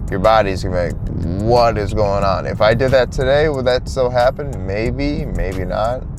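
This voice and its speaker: Hardly pausing, a man with an American accent speaks in a relaxed tone at a moderate pace and medium pitch with ordinary pitch variation, amid noticeable background noise and audible room echo. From US Midwest. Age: 20s. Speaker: fitness vlogger. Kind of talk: casual vlog monologue. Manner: relaxed, halting with restarts.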